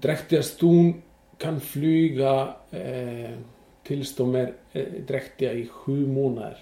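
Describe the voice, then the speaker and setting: Very slow, fairly even speech from a man, with audible room echo. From western Iceland. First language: Icelandic (speaking Swedish). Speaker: horse exporter. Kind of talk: interview. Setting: in his stable. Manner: halting.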